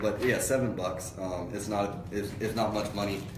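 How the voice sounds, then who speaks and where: Someone with an American accent speaks at a moderate pace with fairly even intonation, and room echo is audible. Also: man. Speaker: online marketer and car buying advisor. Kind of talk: casual live stream talk. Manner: loud; halting with many fillers.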